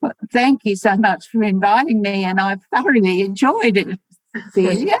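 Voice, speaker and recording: A woman with an Australian accent speaks at a moderate pace and medium pitch with ordinary pitch variation, the sound dry and close with no echo. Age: 80s+. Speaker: poet and artist. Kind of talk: interview. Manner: halting.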